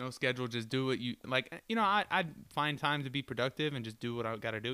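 Medium in pitch, a man talks at a very fast pace with ordinary pitch variation. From Florida. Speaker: podcast guest, friend of host. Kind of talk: casual chat. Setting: at host's rural home in Michigan.

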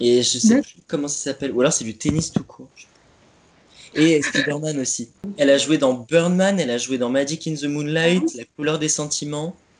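Using an ordinary speaking voice, a man with a fairly high pitch speaks at a moderate pace with ordinary pitch variation. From Champagne, France. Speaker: theatre company member, stage manager. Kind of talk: casual chat. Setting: Skype call. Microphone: poor Skype recording audio.

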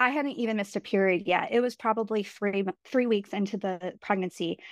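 A woman with an American accent and a plain, everyday voice speaks at a fairly high pitch and moderate pace with ordinary pitch variation, in a dry, close sound with no echo. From New York. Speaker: guest sharing pregnancy loss story. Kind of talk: personal testimony in casual interview. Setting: remote call.

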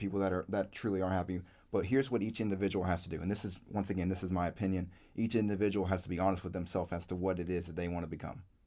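With an American accent, a man speaks very fast in a very deep, low pitch and a dark, mellow tone, in a very clean recording with a silent background. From Virginia, US South. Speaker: podcast co-host. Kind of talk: casual chat.

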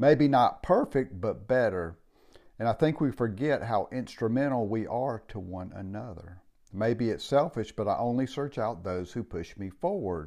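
On a very clean recording with a silent background, a man speaks at a moderate pace in a dark, mellow tone with lively intonation. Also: medium pitch for a man. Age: 60s. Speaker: podcast host. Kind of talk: casual monologue.

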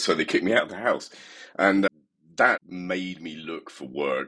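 In a British accent, a man talks at a moderate pace, and the sound is dry and close with no echo. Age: 40s. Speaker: tech company CEO and software developer. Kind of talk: interview.

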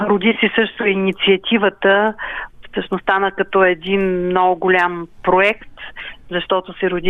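This woman has an ordinary speaking voice, medium in pitch. She talks at a fairly slow pace with fairly even intonation. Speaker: community cultural centre secretary. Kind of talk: radio interview.

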